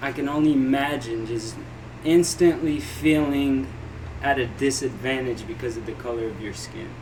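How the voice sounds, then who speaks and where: Noticeable background noise and audible room echo surround a man speaking at a medium pitch and a moderate pace, with fairly even intonation. His loudness swings widely, and he pauses long and often. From abroad, moved to US at six. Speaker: reaction video creator. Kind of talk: casual commentary on a video. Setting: home office.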